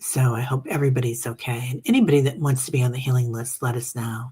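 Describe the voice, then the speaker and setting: A woman speaks in a somewhat breathy voice. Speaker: meditation group host. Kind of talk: casual chat. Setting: livestream reading comments. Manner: casual, chatty with fillers.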